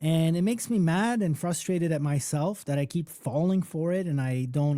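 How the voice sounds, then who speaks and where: With a Polish accent, a man speaks in a fairly high, animated voice with ordinary pitch variation. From Poland, then Toronto, Canada from age twelve. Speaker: music producer and mentor. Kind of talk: live online workshop talk. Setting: live stream. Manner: casual, animated.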